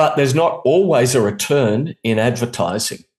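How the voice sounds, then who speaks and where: A somewhat breathy voice with an Australian accent, lively intonation and a moderate pace. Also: man. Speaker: international media trainer and radio specialist. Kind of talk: conversational interview.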